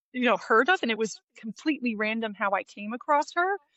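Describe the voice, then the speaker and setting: The delivery has an animated tone. A slight New Jersey accent comes through. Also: woman. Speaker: live wedding painter. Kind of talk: casual interview.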